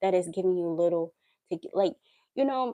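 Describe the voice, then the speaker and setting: At a fairly quick pace, a woman speaks at medium pitch with a dark, mellow tone and a dry, close sound with no echo. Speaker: life and relationship coach livestream host. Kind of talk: livestream monologue. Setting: live stream.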